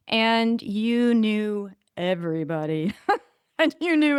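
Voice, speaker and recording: A woman speaks in an American accent at a fairly high pitch. The recording is very clean, with a silent background. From Northern California, US. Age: 60s. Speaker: podcast guest, spiritual healer. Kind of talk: casual interview chat. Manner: animated.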